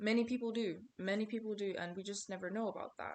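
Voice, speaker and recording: A woman with a non-native accent speaks at a fairly quick pace, her intonation fairly even. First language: not English. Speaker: small content creator, vlogger. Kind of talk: casual motivational vlog monologue. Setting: talking to camera. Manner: conversational, repetitive. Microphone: poor video quality.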